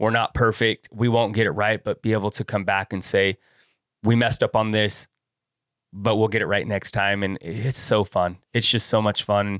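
In a very clean recording with a silent background, the sound is dry and close, with no echo. A man with an American accent speaks at a fairly low pitch and moderate pace in a monotone, flat intonation. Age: 40s. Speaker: videographer and photographer. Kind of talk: casual chat. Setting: studio.

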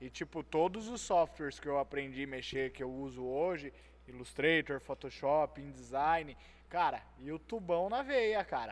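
This is an ordinary speaking voice from a man with a fairly high pitch. He goes at a fairly slow pace with ordinary pitch variation. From Itatiba, São Paulo state, Brazil. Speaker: podcast host. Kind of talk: casual chat.

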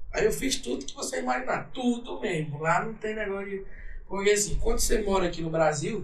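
At a fairly quick pace, a man with a high pitch speaks with lively intonation. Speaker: sertanejo singer. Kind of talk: casual podcast interview.

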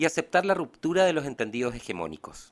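On a very clean recording with a silent background, a man with a fairly high pitch, vocal fry and lively intonation speaks at a fairly quick pace. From Chiloé, southern Chile. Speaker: podcast co-host. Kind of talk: scripted narration; casual interview.

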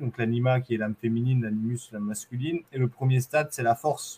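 A man's somewhat breathy, dark, mellow voice at medium pitch, fairly quick and fairly even in intonation, with a dry, close sound and no echo. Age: 30s. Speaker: Muay Thai champion and long-distance runner. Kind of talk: interview conversation.

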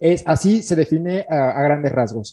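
A man speaks with lively, bouncing intonation and a fairly high pitch. His tone is dark and mellow. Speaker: podcast co-host. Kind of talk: casual chat. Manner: halting.

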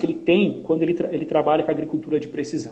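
This man's voice sits fairly high for a man, with a dark, mellow tone, vocal fry and lively intonation, and audible room echo surrounds it. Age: 30s. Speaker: agribusiness sales coordinator. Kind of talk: casual interview.

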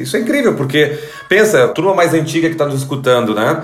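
Over noticeable background noise and audible room echo, a man with a Rio Grande do Sul accent speaks at a fairly high pitch with ordinary pitch variation. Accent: gaúcho. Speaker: sound strategist, podcast host. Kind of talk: interview.

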